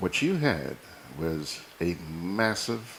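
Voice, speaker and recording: Noticeable background noise sits under a man's very deep, low-pitched voice. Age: 60s. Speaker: TV news and current affairs host. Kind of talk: casual personal monologue to viewers. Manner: animated.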